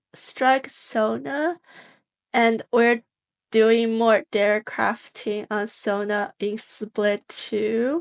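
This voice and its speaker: At a very slow pace, a woman with a fairly high pitch and ordinary pitch variation speaks in a dry, close sound with no echo over a quiet background. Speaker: gaming streamer and YouTuber. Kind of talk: gameplay commentary. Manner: casual with fillers and restarts.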